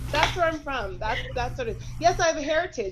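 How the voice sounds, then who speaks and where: Noticeable background noise sits behind speech delivered at a fairly quick pace. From Canada, Toronto. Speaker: fitness instructor. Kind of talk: panel discussion.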